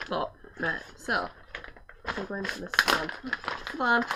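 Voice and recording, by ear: At a fairly slow pace, a woman speaks in a bright, sharp tone.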